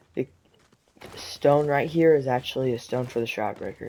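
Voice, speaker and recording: A shaky voice at a moderate pace. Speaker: gaming video creator. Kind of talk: gameplay commentary.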